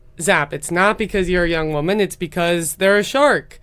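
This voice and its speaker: A woman with an unremarkable speaking voice talks in an American accent with ordinary pitch variation. The recording is very clean, with a silent background. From US Midwest. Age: 20s. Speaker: tech startup founder. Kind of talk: podcast interview.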